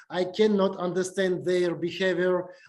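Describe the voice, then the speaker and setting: With a Russian accent, the speaker moves at a fairly slow pace amid audible room echo. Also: man. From Uzbekistan. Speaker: university lecturer. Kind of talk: lecture. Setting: video call. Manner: halting, many fillers.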